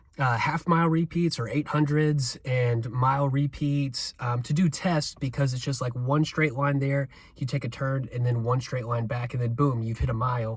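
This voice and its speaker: Somewhat breathy, the voice moves with fairly even intonation and hardly any pauses. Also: man, medium pitch for a man, moderate pace. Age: 40s. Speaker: amateur runner vlogger. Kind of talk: casual vlog monologue. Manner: casual, many fillers.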